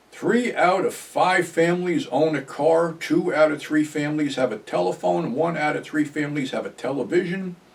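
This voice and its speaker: Through noticeable background noise, a man with an American accent and a fairly high pitch speaks at a moderate pace with lively intonation. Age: 70s. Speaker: YouTuber, ex-wrestling personality. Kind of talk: casual monologue vlog. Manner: casual, conversational.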